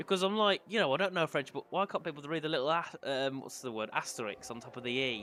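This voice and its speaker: Talking at a very fast pace with hardly any pauses, a man with a Birmingham accent has a fairly high pitch, a bright, sharp tone and lively intonation. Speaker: sim racing commentator. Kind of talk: live commentary. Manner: animated.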